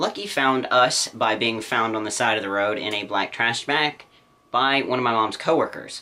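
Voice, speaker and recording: A man speaks over noticeable background noise. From Louisiana, US South. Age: 20s. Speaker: pet YouTuber. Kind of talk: vlog monologue.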